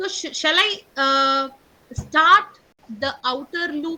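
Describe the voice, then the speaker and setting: A woman with a high pitch and a bright, sharp tone speaks at a very slow pace in a raised, projected voice, her loudness swinging widely. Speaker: teacher. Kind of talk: online class lesson.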